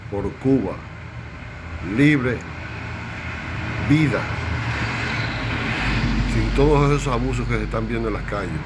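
Slow speech with ordinary pitch variation comes through clear background noise, broken by long, frequent pauses. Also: man, medium pitch for a man.

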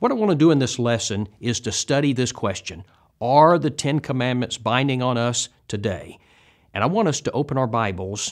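The man keeps a moderate tempo, and nothing intrudes from the quiet background. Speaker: bible teacher. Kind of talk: lecture. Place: studio. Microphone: lapel.

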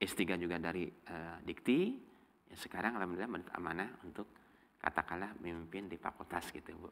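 With a very deep, low pitch, a man speaks at a fairly quick pace, keeping his intonation fairly even while his loudness swings widely. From Subang, West Java, Indonesia; West Java, Indonesia. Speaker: law professor and faculty dean; law professor. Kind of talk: casual interview. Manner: hesitant, many fillers. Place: studio. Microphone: lapel.

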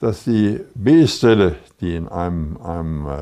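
Lively intonation runs through the dark, mellow tone of a man speaking. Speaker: war veteran, former artillery battery commander; lawyer. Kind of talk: interview answer.

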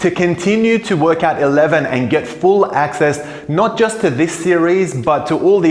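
Audible room echo around a man's voice of ordinary pitch variation. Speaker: fitness coach. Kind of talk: channel outro promotion.

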